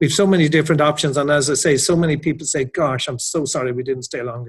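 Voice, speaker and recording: This man talks at a fairly quick pace with an Irish accent and a fairly high pitch. His intonation stays fairly even, and his voice is somewhat breathy. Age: 60s. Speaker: hotel general manager. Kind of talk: interview.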